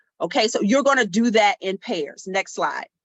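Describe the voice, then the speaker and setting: A woman's plain, everyday voice, fairly high in pitch, at a moderate pace with lively intonation. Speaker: math education professor leading workshop. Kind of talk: online workshop presentation. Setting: video call.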